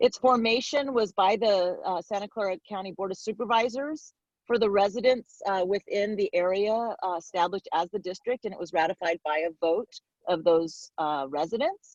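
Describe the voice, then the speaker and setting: The sound is dry and close with no echo as a woman speaks at a medium pitch with ordinary pitch variation. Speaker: fire service educator. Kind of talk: presentation. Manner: fast.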